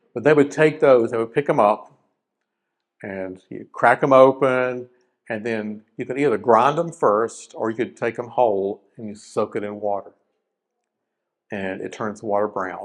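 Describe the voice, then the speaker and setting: Speaking with an Appalachian accent, a man talks at a fairly slow pace with big swings in loudness. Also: quiet background. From South Carolina (Rock Hill), Appalachian roots. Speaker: wildlife and forestry scientist, presenter. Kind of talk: educational presentation. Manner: casual, conversational with fillers.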